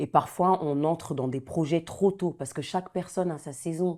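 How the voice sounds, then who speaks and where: With a dark, mellow tone and ordinary pitch variation, a woman is heard on a very clean recording against a silent background. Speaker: gospel singer and nurse. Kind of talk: interview. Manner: repetitive, emphatic.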